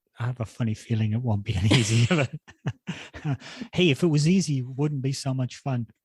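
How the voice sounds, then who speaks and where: Somewhat breathy and medium-pitched, a man talks at a fairly quick pace with ordinary pitch variation and long, frequent pauses. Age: 60s. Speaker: running podcast co-host. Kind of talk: casual chat.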